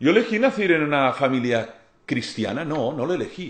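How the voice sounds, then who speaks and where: Amid audible room echo, a man with a Catalan accent speaks at a moderate pace, his fairly high pitch swinging very widely. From Catalonia, Spain. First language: Catalan (speaking Spanish). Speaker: lecturer on philosophy and spirituality. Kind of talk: lecture.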